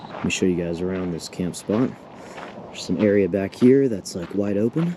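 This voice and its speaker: Noticeable background noise sits under a voice with ordinary pitch variation and a moderate pace. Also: man, fairly low pitch for a man. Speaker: vlogger. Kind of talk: casual vlog narration. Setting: outdoors at campsite. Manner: quiet, keeping voice down.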